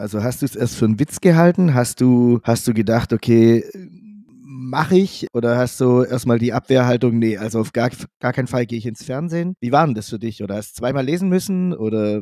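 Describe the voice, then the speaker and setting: With lively intonation and a dark, mellow tone, a man speaks at a fairly quick pace in a dry, close sound with no echo. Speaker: podcast co-host, betting partner. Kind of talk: casual chat.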